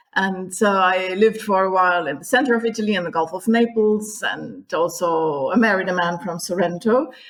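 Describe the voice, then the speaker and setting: With ordinary pitch variation, a woman at a medium pitch talks at a fairly quick speed. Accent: German. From Germany. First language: German. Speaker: tour guide. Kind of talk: podcast interview. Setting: remote recording.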